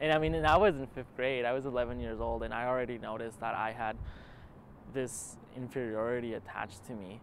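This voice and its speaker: The man moves at a fairly quick pace with ordinary pitch variation. Light background noise is present, yet the sound stays dry with no echo. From Utah, US (immigrated from Argentina at seven). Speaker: documentary interviewee, student filmmaker; interviewee. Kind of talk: personal testimony. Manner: halting, with repetitions. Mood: reflective, earnest. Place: garden.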